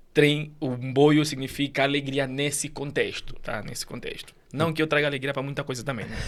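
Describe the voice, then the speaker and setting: This is a man with a fairly high pitch. His intonation is monotone and flat. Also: moderate pace, hardly any pauses. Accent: Angolan. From Angola. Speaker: immigrant guest. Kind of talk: podcast interview.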